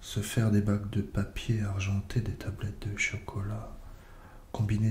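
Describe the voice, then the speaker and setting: Soft-spoken and fairly low in pitch, a man talks at a fairly slow pace over noticeable background noise. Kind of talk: soft-spoken ASMR poetry reading. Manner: soft-spoken, slow.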